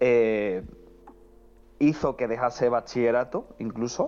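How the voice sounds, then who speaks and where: Dark and mellow in tone, this man speaks at medium pitch. His pace is fairly slow. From Andalusia, Cádiz (El Puerto de Santa María). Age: 20s. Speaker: film commentator, online film critic. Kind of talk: casual chat.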